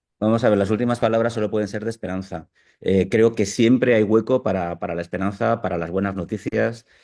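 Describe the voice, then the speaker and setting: A man talks at a fairly quick pace with a fairly low pitch and a dark, mellow tone. His intonation is fairly even, and the background is quiet. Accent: Castilian. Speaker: newspaper art director. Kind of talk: online video interview.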